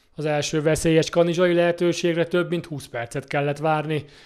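Heard on a very clean recording with a silent background, a man with a fairly high pitch talks at a moderate pace in a plain, everyday voice. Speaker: sports news reporter. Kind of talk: news reading. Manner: formal.

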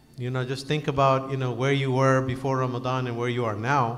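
A man at a moderate pace. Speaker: speaker. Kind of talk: sermon. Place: church. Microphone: podium.

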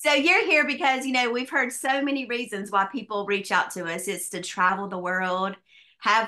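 With a Southern US accent, a woman speaks in a fairly high pitch and a bright, sharp tone against a quiet background. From US South. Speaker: business opportunity presenter; presenter. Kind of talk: sales pitch. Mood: upbeat sales pitch. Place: home room. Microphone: webcam.

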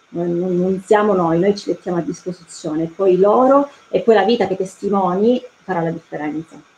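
Dark, mellow woman's voice at a moderate pace with ordinary pitch variation, over light background noise. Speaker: prison volunteer. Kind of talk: testimony. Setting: video call. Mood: earnest, hopeful. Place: home room. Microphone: video call.

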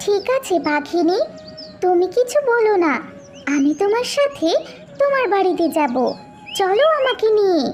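A cartoonish character voice at an extremely high pitch and a fairly slow pace, with clear music in the background. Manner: warm, friendly.

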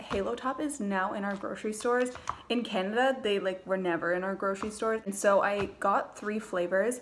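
Light background noise sits behind a woman talking at a fairly quick pace. Her pitch varies in an ordinary way. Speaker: vlogger. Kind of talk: casual vlog chat. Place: kitchen. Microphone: phone near.

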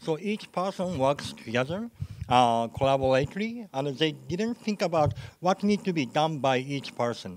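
At a moderate pace, a man with a fairly high pitch swings very widely in pitch, with light background noise. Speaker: program manager. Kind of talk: conference talk. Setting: stage with audience. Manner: halting. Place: hall.

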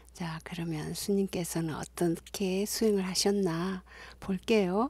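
A woman's fairly low, somewhat breathy voice in a warm tone, at a very slow pace with ordinary pitch variation. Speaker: university lecturer in music. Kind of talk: video introduction. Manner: warm and friendly.

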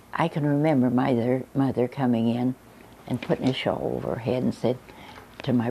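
A woman's very deep, low-pitched voice over light background noise. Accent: Midwestern American. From Linton, Indiana. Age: 80s+. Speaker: local elder recalling town history. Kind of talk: interview answer. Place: home room.

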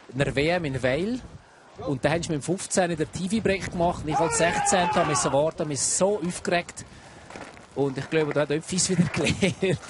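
Here a man with a Swiss accent speaks in a relaxed, enthusiastic tone at a high pitch and moderate pace. His pitch varies in an ordinary way, with noticeable background noise. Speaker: expert co-commentator, ski analyst. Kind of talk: live sports commentary, technical expert analysis. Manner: relaxed, conversational, enthusiastic.

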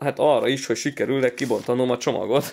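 An animated man at a medium pitch talks at a fairly quick pace with light background noise. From Hungary. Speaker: card-collecting YouTuber. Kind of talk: pack-opening commentary. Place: home room.

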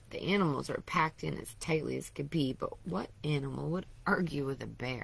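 Putting on a character voice, a woman sounds raspy at a very deep, low pitch and a fairly quick pace. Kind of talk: bedtime story. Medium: read story. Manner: warm, gentle.

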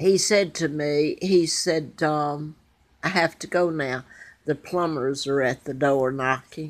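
Her pitch very deep and low with ordinary variation, a woman speaks at a very slow pace. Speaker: vlogger. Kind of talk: casual vlog chat. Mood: anxious, earnest. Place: home room. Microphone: phone near.

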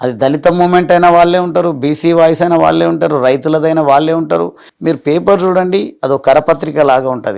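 A man's voice at a fairly high pitch, with ordinary pitch variation. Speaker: politician. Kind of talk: interview. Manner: animated.

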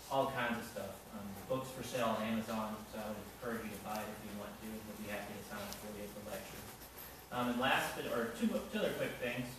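The speech comes at a very fast pace with monotone, flat intonation, amid strong room echo and noticeable background noise. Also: man. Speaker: event host. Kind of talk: announcements before a lecture. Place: hall. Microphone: camera far.

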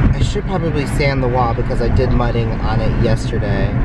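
Loud background noise sits behind a man who speaks at a moderate pace. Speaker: vlogger. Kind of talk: casual vlog chat. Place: car. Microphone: phone near.

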